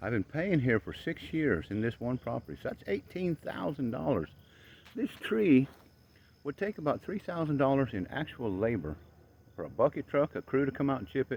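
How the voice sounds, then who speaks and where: A man with vocal fry speaks at a medium pitch and a moderate pace, with an animated tone. His pitch swings very widely, and the sound is dry and close with no echo. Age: 60s. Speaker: tree worker and vlogger. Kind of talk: vlog monologue. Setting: outdoors.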